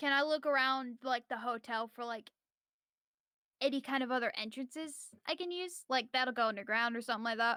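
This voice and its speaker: A woman speaks loudly at a high pitch in a bright, sharp tone. She moves at a fairly quick pace with ordinary pitch variation in a dry, close sound with no echo. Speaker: streamer playing tabletop RPG player. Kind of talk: tabletop role-play game chat.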